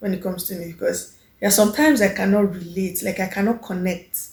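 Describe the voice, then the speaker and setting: A confident-toned, somewhat breathy woman at medium pitch with ordinary pitch variation. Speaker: lifestyle vlogger. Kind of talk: casual vlog monologue.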